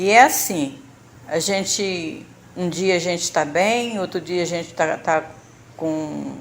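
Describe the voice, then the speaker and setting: A woman's fairly low voice shows ordinary pitch variation. She speaks at a very slow pace, with long, frequent pauses. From Brazil, Rio de Janeiro state. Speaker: church member sharing health testimony. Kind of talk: testimony. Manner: halting, with fillers and repetitions.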